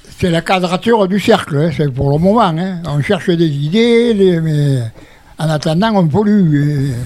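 The pace is very slow, with ordinary pitch variation. Noticeable background noise and audible room echo are present. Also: man, high pitch for a man. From southern France, Gard (Vauvert). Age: 80s+. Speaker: retirement home resident, retired utility worker. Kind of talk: radio discussion. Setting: radio studio in retirement home.

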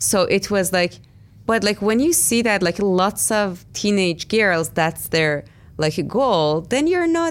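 On a very clean recording with a silent background, a woman with a Persian accent speaks very slowly at a medium pitch. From Iran. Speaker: artist. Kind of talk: interview.

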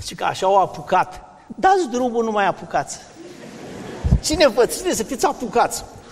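Over noticeable background noise, a man speaks at a moderate pace and an extremely high pitch, with very wide pitch swings and long, frequent pauses. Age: 60s. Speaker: medical doctor, vegetarian diet advocate. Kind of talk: interview in a sermon series.

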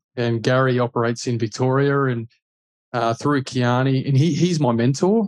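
Speaking at a moderate pace with an Australian accent, a man uses a medium pitch and ordinary pitch variation. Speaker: buyer's agent, former footballer. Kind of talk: casual interview.

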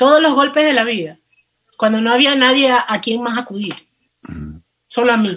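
A woman talks at a moderate pace with long, frequent pauses. Her pitch is high, with ordinary variation. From Ecuador, coast (Manabí). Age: 40s. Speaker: plus-size model and lingerie entrepreneur. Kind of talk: interview.

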